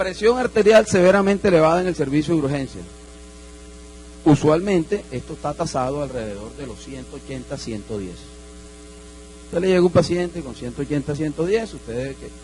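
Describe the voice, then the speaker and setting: A man's voice with big swings in loudness and long, frequent pauses, over noticeable background noise. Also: fairly quick pace. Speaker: doctor lecturing at medical congress. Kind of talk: lecture.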